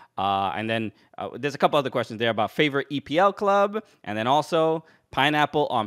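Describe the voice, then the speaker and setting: Fairly high male voice with a New York accent, very wide pitch swings and a moderate pace against a quiet background. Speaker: comedian and podcast host; podcast host. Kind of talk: casual interview. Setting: video call. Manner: halting. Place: home room.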